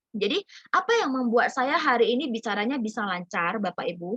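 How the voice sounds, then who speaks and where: Recorded dry and close with no echo, a woman speaks at a high pitch. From North Sumatra (Medan). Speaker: business community mentor. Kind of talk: online group presentation. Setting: video call. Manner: animated.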